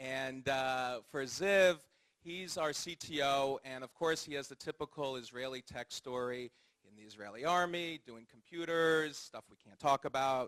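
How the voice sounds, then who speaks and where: An ordinary speaking voice from a man with an American accent, fairly high in pitch, with ordinary pitch variation, big swings in loudness and a dry, close sound with no echo. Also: fairly slow pace. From US, California (Palo Alto). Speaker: startup co-founder. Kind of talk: onstage interview.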